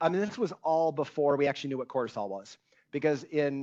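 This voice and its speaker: The background is quiet while a man talks with ordinary pitch variation. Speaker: endocrinology professor giving a lecture. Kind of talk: lecture. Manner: loud.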